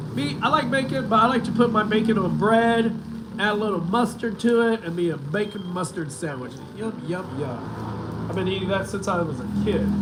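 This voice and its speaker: A man's high-pitched voice at a moderate pace with lively intonation, amid noticeable background noise and audible room echo. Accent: American. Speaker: vlogger. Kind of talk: live stream chat. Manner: casual, halting.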